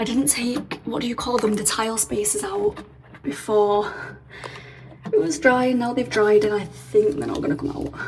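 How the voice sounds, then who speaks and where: A woman with a British accent speaks at a moderate pace in a fairly high pitch. Her intonation is lively, and there is noticeable background noise. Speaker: renovation vlogger. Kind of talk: casual vlog.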